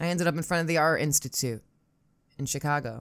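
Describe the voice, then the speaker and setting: On a very clean recording with a silent background, a woman with an American accent talks at a fairly quick pace in a very deep, low pitch with ordinary pitch variation. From Upstate New York, Syracuse. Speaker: podcast host and storyteller. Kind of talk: solo storytelling monologue. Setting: home recording setup. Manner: rambling, self-deprecating, halting with fillers.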